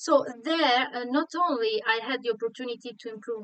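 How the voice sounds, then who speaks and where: A woman's moderate-paced speech with ordinary pitch variation and a Sardinian accent. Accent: Italian (Sardinian) accent in English. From Sardinia, Italy. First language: Italian. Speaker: online Italian teacher. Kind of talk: live online lesson. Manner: halting, many fillers.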